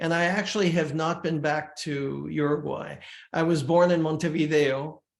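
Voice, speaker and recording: Heard with audible room echo, a man speaks in a fairly high, flat monotone. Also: moderate pace. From Switzerland (Lausanne), multilingual upbringing. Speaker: folk rock musician. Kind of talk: interview. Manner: hesitant, many fillers.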